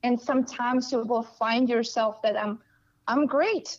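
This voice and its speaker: A woman's high-pitched voice with a Russian accent. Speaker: coach. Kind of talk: casual interview.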